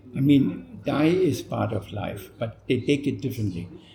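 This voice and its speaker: Very slow, dark, mellow delivery with vocal fry. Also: man. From Germany. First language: German. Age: 80s+. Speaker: retired missionary pastor. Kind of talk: interview. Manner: halting.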